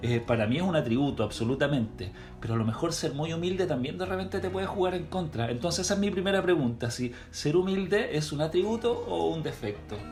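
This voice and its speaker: At a very fast pace with hardly any pauses, a man with a Chilean accent speaks at a fairly high pitch with very wide pitch swings, over noticeable background noise and audible room echo. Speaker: podcast host. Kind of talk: interview.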